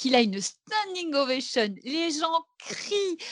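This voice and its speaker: Her pitch swinging very widely, a woman speaks over a quiet background in a dry, close sound with no echo. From Belgium. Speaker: actress and singer. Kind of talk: casual chat.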